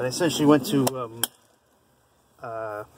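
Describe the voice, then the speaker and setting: A man speaks fairly slowly with fairly even intonation. The sound is dry with no echo, with light background noise. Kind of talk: casual vlog chat. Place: garage. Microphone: phone near.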